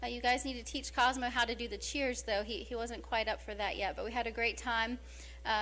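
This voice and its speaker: Audible room echo follows a woman speaking at a very fast pace with an American accent. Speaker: mayor. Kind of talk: council meeting report. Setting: city council meeting.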